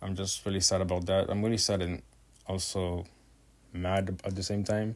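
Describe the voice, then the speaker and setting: Flat and monotone, a man with a non-native accent speaks at a fairly low pitch. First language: not English. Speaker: digital art content creator. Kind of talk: voiceover narration over art video. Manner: hesitant, many fillers.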